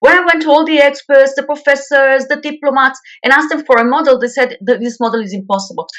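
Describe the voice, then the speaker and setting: At a very fast pace, a woman speaks in a high-pitched voice. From Israel. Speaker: peace activist. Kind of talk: radio interview.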